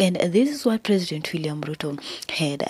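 The woman's voice sits fairly low in pitch and sounds somewhat breathy. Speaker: online news commentator. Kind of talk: news commentary vlog. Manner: halting, with fillers.

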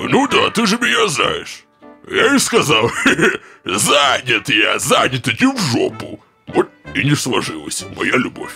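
A man uses a put-on character voice pitched high, speaking at a fairly slow pace. Faint music plays in the background. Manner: chatty, know-it-all.

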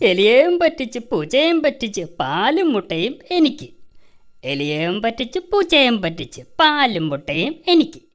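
A cartoonish character voice with a fairly high pitch makes very wide pitch swings. It moves at a fairly slow pace. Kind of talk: comic cartoon villain acting. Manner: gloating, sly, sing-song taunting.

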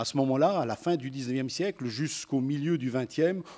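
An ordinary speaking voice at a moderate pace with ordinary pitch variation, on a very clean recording with a silent background. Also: man. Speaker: teacher and education activist. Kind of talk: conference talk. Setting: stage with audience.

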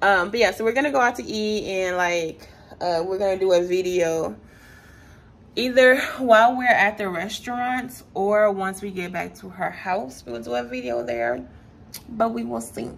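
At a moderate pace, a woman speaks with very wide pitch swings and big swings in loudness. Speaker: vlogger. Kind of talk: casual vlog chat. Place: home room. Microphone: phone near.

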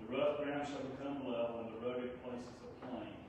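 A man at a fairly quick pace with fairly even intonation, amid noticeable background noise and strong room echo. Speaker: scripture reader at service. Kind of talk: scripture reading. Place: church. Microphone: camera far.

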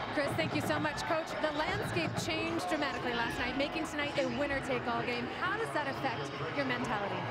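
The speech moves at a very fast pace with hardly any pauses. The sound is dry with no echo, over loud background noise. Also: woman. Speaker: sideline reporter. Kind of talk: sideline interview questions. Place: stadium. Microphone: handheld.

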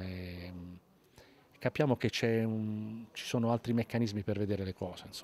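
In a dry sound with no echo, a man speaks fairly slowly at a fairly low pitch with fairly even intonation. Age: 50s. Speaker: actor; actor interviewed at festival. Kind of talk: interview. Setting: festival, on camera. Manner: halting, with frequent fillers and repetitions. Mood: cheerful, warm. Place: street. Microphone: handheld.

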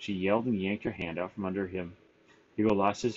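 The voice is reading aloud in a natural voice. Its intonation stays fairly even.

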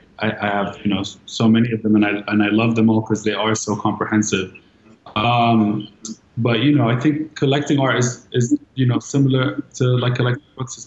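Speaking at a moderate pace with fairly even intonation, a man with an American accent is heard in audible room echo. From Los Angeles, London and Dubai. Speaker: art collector and creative director; guest. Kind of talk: panel discussion. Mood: warm, relaxed. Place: home room. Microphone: video call.

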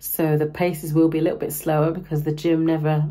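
The woman's pitch is very deep and low. There is a somewhat breathy quality to it. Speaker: running vlogger. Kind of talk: vlog. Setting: outdoors. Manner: casual.

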